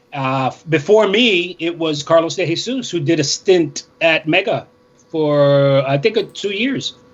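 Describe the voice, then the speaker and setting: There is noticeable background noise as a man with a high voice speaks with lively intonation. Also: fairly slow pace. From New York City, Inwood Manhattan, Puerto Rican family. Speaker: radio DJ. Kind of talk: casual interview.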